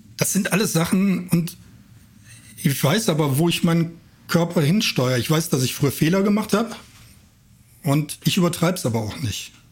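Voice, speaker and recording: A man talks at a moderate pace with a high pitch and lively intonation, leaving long, frequent pauses. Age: 50s. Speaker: amateur runner. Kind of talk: casual chat.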